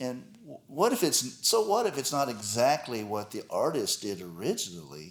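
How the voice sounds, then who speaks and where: With vocal fry at a moderate pace, the voice makes very wide pitch swings and big swings in loudness. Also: man, medium pitch for a man. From Texas, Dallas. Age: 60s. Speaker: guitarist. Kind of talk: interview.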